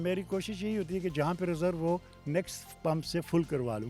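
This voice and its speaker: Lively intonation over music in the background. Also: man. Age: 70s. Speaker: motorcycle traveller. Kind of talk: interview answer.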